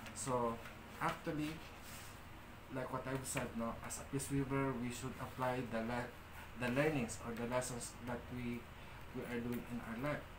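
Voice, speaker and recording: With a Filipino accent, a man talks at a moderate pace with long, frequent pauses. Noticeable background noise is present. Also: medium pitch for a man. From Philippines. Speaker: spiritual leader / priest of a shrine. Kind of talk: livestream ritual and talk. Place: home room. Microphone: phone near.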